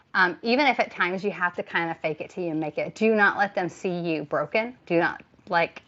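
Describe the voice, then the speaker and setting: A woman with an American accent, medium pitch, a bright, sharp tone and lively intonation at a moderate pace. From Texas. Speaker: tarot reader. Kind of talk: live tarot reading. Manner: hesitant, filler-heavy.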